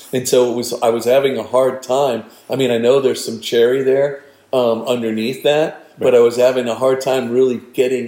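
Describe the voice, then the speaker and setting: At a moderate pace and with an American accent, the speaker's dark, mellow tone stays monotone and flat in intonation. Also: man. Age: 60s. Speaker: winemaker and vineyard owner. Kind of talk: casual interview.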